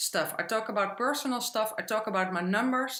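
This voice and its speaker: A woman speaks in a bright, sharp tone. Her intonation is lively. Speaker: accounting business owner and media commentator. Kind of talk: podcast interview. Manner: hesitant, frequent fillers.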